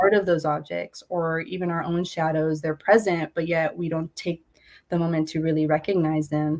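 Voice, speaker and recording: A woman speaks at a moderate pace with a fairly low pitch. Her intonation is monotone and flat. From California Central Valley, Porterville. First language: Spanish. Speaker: visual artist. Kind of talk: artist talk interview. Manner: relaxed, reflective with many fillers.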